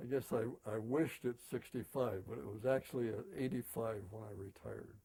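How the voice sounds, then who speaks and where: A man's medium-pitched voice, dark and mellow with vocal fry, at a fairly quick pace, with ordinary pitch variation and big swings in loudness. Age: 80s+. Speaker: retired insurance agent. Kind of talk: interview. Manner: halting.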